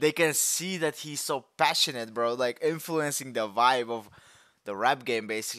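Over a quiet background with a dry sound and no echo, a man talks at a fairly slow pace in a bright, sharp tone with ordinary pitch variation. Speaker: music reactor. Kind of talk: casual reaction commentary. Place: home room. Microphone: headset.

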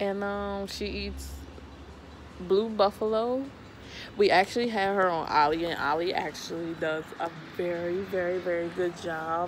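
Over light background noise, a woman with a fairly low pitch speaks at a fairly slow pace with ordinary pitch variation and long, frequent pauses. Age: 20s. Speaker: vlogger. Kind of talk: casual vlog talk to camera. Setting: sitting on the floor at home. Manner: hesitant, many fillers. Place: home room. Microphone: phone near.

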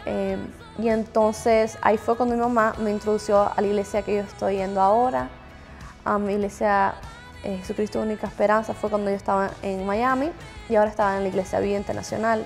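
Faint music plays in the background as a woman with a Cuban accent talks at a fairly quick pace, her medium-pitched voice fairly even in intonation. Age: 20s. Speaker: gospel singer. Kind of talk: interview answer. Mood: reflective, personal testimony. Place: home room. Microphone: lapel.

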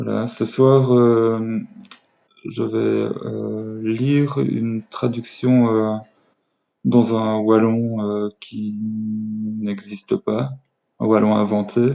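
Against a quiet background, a man speaks at a very slow pace with long, frequent pauses. His pitch is fairly low and his intonation fairly even. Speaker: amateur reader. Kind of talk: casual talk to camera. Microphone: webcam.

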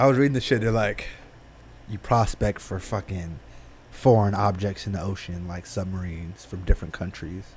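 A man's somewhat breathy voice at a fairly low pitch and moderate pace, with big swings in loudness and light background noise. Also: ordinary pitch variation. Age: 20s. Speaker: podcast co-host. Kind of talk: casual chat. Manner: animated, laughing. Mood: relaxed, joking, uses profanity. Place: studio. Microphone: studio mic.

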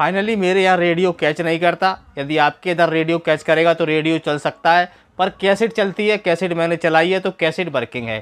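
A man with a fairly high pitch speaks with few pauses. His tone is clear and smooth. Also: ordinary pitch variation, fairly quick pace.

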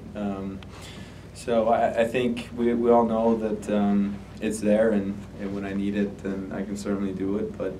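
A man speaks with little pitch movement, and room echo can be heard. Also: fairly low pitch for a man, fairly slow pace.

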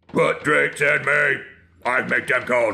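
A man uses a raspy, put-on character voice. His pace is fairly slow. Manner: scary, menacing.

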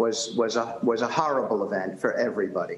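Audible room echo surrounds a man with a New York accent who talks at a medium pitch and a fairly quick pace. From New York City (Bronx); New York City. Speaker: real estate developer; guest. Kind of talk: TV news interview. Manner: halting, with many repetitions and fillers. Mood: critical, emphatic. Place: home room. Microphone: webcam.

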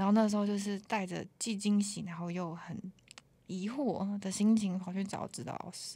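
This woman's voice sits at a medium pitch, with a dark, mellow tone and a somewhat breathy quality. Her intonation stays fairly even. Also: very clean recording, silent background. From Taiwan, Taoyuan. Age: 20s. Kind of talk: casual chat. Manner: languid.

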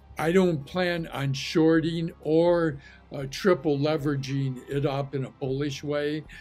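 A man talks with fairly even intonation. Faint music plays in the background. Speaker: market commentator. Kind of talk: commentary. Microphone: webcam.

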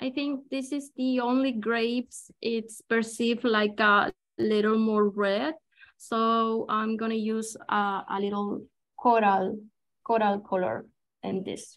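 A woman with a Chilean accent, fairly even intonation and a very slow pace. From Chile, Santiago. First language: Spanish. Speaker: watercolor artist and illustrator; guest. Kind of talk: live painting demonstration. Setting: video call. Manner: halting, many fillers. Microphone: video call.

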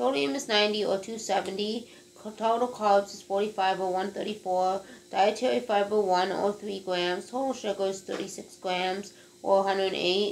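Light background noise sits under a woman's voice. She keeps a moderate pace with ordinary pitch variation. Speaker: food reviewer. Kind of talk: casual vlog chat. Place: kitchen. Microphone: webcam.

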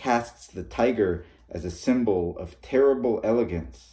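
In a quiet setting, a man speaks fairly slowly. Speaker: reader of fiction. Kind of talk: reading aloud a short story. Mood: calm narrative. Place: home room. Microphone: phone near.

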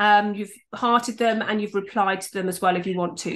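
This woman has a plain, everyday voice, pitched fairly high. She talks at a fairly quick pace with ordinary pitch variation. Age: 50s. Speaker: YouTube and video marketing coach; video marketing coach. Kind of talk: tutorial. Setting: screen share recording.

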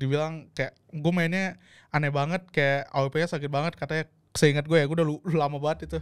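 Against a quiet background, a man talks fairly quickly in a fairly high voice. His intonation stays monotone and flat. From Indonesia. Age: young. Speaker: esports pro player; podcast guest or host. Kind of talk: casual chat. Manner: stammering, mumbling in the past, now clearer. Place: studio. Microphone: studio mic.

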